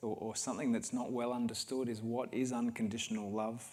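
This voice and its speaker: This man talks at a moderate pace with a medium pitch and an Australian accent. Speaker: healer speaking at a wellness event. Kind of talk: guided talk to an audience. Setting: livestreamed event with audience.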